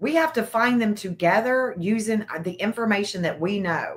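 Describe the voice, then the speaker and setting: A bright, sharp tone in a Tennessee accent, at a moderate pace with ordinary pitch variation. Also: woman. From Nashville, Tennessee (Antioch). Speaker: true crime content creator. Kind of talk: casual livestream chat. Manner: animated.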